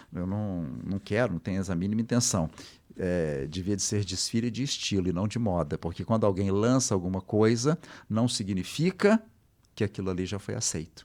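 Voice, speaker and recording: In a very clean recording with a silent background, a man with an ordinary speaking voice and a fairly low pitch talks at a moderate pace with ordinary pitch variation. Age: 60s. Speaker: fashion history professor. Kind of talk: interview.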